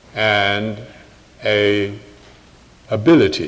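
A man is heard with noticeable background noise behind him. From England. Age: 80s+. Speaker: anthropologist and author. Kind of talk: public lecture with Q&A. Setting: church podium with live audience, broadcast on radio.

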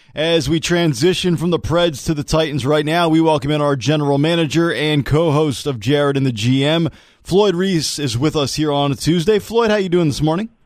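A man's fairly high voice with ordinary pitch variation, upbeat and animated, at a moderate pace with hardly any pauses. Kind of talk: radio dj patter. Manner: brisk, upbeat promo-reading, rattling off show times and teasers; animated, jokey.

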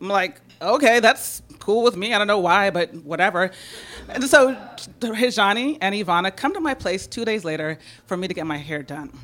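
Against noticeable background noise, a woman talks at a moderate pace and a medium pitch. Her intonation is lively, and her loudness swings widely. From San Francisco. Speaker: storyteller. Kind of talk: live storytelling. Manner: animated.

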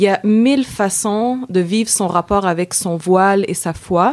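A woman's medium-pitched voice with a Quebec accent. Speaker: feminist activist. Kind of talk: interview.

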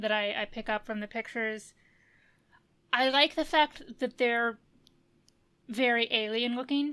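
Bright and sharp in tone, a woman's fairly high voice comes through a very clean recording with a silent background. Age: 30s. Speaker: podcast host. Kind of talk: casual chat.

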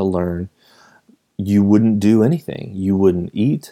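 With a dark, mellow tone and fairly low pitch, a man speaks at a fairly slow pace with ordinary pitch variation on a very clean recording with a silent background. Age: 30s. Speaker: podcast host, former teacher. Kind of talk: solo monologue podcast. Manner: casual, conversational.

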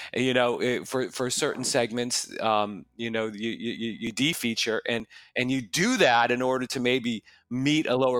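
With an American accent and fairly even intonation, a man talks over background music in a dry, close sound with no echo. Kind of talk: casual business podcast discussion.

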